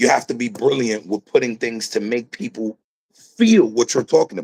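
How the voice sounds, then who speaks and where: A man with an American accent at a moderate pace, in a dry, close sound with no echo. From South Bronx, New York. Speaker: rapper. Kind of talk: interview.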